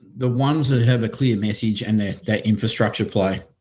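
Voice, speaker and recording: Here a man talks with an Australian accent. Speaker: venture capital investor. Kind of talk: podcast interview.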